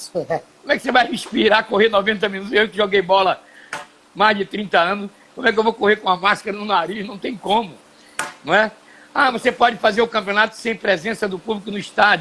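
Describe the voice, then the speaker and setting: A man's raised, projected voice, high in pitch, at a fairly quick pace with ordinary pitch variation. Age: 70s. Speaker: TV and radio broadcaster, former footballer. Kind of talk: live stream conversation. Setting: home studio.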